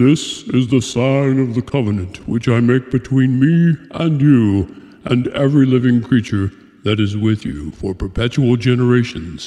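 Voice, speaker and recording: A man's put-on character voice, solemn in tone, medium in pitch and moderate in pace. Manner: solemn, commanding.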